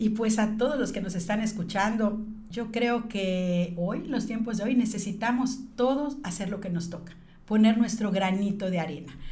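A woman's fairly high voice at a moderate pace, with ordinary pitch variation, audible room echo and noticeable background noise. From Mexico, Yucatán (Mérida). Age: 50s. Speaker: business leader. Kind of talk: interview.

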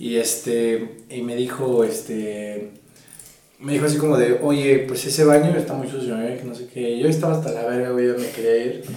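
A man's medium-pitched voice at a moderate pace, with audible room echo and noticeable background noise. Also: fairly even intonation. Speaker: podcast co-host. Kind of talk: casual chat.

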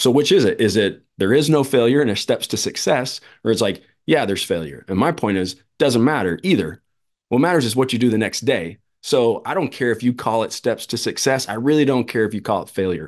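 A man talks at a fairly quick pace at a medium pitch, with lively intonation. He has an ordinary speaking voice, and the background is quiet. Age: 40s. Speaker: former pro baseball player and mental performance coach. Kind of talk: casual interview chat.

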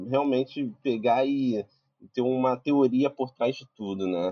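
With an unremarkable speaking voice at medium pitch, a man speaks with lively intonation. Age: 20s. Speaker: visual effects compositor. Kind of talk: casual chat. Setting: live video stream.

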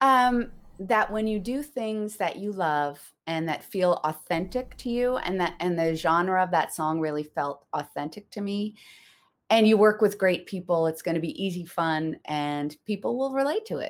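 Lively intonation at a moderate pace. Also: woman, medium pitch for a woman. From Newfoundland, Canada. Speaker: singer and voice actor. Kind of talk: casual interview chat. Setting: online livestream with chat.

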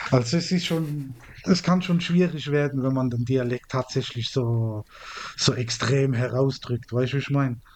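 A man speaks at a fairly slow pace. His pitch is medium with ordinary pitch variation. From Mannheim, southwestern Germany. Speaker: podcast co-host. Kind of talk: casual chat.

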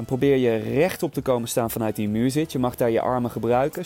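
A man talks at a fairly quick pace with an energetic, upbeat tone. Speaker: fitness instructor. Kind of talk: guided outdoor bootcamp workout, coaching through timed exercises. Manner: energetic, upbeat, motivating; counts down crisply and gives short commands.

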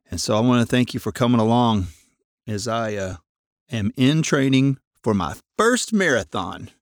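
Speaking with a Southern US accent at a moderate pace, a man with a medium-pitched voice and lively intonation leaves long, frequent pauses, captured dry and close with no echo on a very clean recording with a silent background. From Arkansas, US South. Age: 50s. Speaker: podcast host, amateur runner. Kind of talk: personal monologue. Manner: hesitant, many fillers and repeats.

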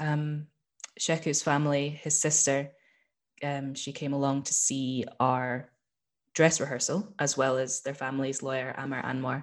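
A woman with a Scottish accent, a very deep, low pitch and a monotone, flat intonation. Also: moderate pace. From Scotland, small town. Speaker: actor and musician. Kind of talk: casual interview chat. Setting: video call.

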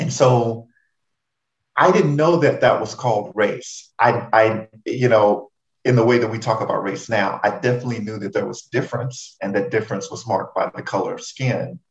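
A somewhat breathy man at a medium pitch speaks at a moderate pace with ordinary pitch variation. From Houston, Texas (Third Ward). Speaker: diversity and inclusion director. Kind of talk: interview.

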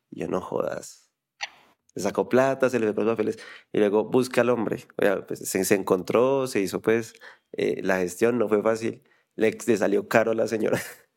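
A man's normal speaking voice at a moderate pace, with fairly even intonation. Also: medium pitch for a man. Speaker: podcast host. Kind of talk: casual interview.

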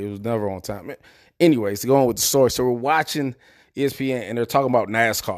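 Talking at a very fast pace in an American accent, a man with a medium pitch and ordinary pitch variation comes through on a very clean recording with a silent background. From Prince George's County, Maryland. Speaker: podcast host, military service member. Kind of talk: solo motivational podcast monologue. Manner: casual, conversational.

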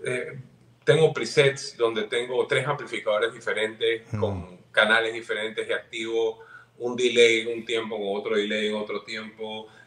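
A man speaks in an ordinary speaking voice at a moderate pace, his medium pitch held in fairly even intonation. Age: 40s. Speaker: guitarist. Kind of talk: casual chat.

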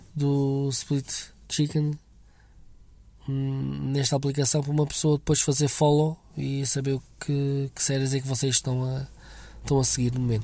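A man's fairly high yet dark, mellow voice, somewhat breathy, monotone and flat, at a fairly slow pace with long, frequent pauses. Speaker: listener sending a voice message. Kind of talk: recorded voice message. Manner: halting.

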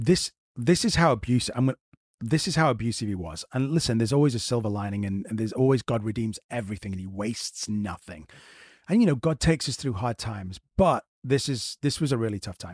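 A somewhat breathy man at medium pitch, talking at a very fast pace with lively intonation, in a very clean recording with a silent background and a dry, close sound with no echo. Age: 40s. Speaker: actor and podcast co-host. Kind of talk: casual interview chat.

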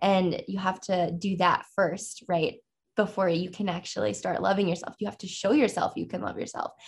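On a very clean recording with a silent background, a woman with a medium pitch and vocal fry speaks at a moderate pace with fairly even intonation. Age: 20s. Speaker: artist. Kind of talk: interview conversation. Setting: podcast studio.

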